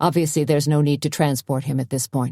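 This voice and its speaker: In a put-on character voice, the speaker races along at a very fast pace with low-to-middle pitch and monotone, flat intonation, on a very clean recording with a silent background. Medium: read story. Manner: calm, cool and professional.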